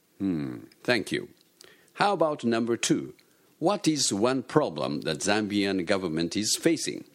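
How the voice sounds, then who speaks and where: On a very clean recording with a silent background, a man speaks fairly slowly at a fairly low pitch, with vocal fry and very wide pitch swings. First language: Japanese. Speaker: English teacher. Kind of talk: instructions; scripted dialogue.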